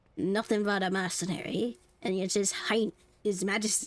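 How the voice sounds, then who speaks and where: A woman puts on a raspy character voice at medium pitch. She keeps a moderate pace. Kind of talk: gamer reading along. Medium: game stream.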